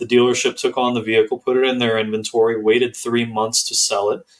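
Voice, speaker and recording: In a normal speaking voice, a man talks at medium pitch and a fairly quick pace with fairly even intonation. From US Northeast. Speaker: consumer rights attorney. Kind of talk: interview.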